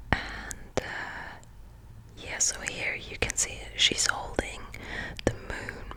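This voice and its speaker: With noticeable background noise behind it, a whisper moves very slowly, broken by long, frequent pauses. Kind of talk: ASMR book show and tell. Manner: whispered.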